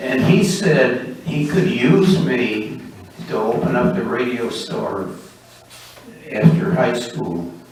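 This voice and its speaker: In an American accent, the speaker talks at a very slow pace with long, frequent pauses and very wide pitch swings. Noticeable background noise is present. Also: man, medium pitch for a man. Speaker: amateur radio operator. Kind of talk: talk to a club meeting. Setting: meeting room.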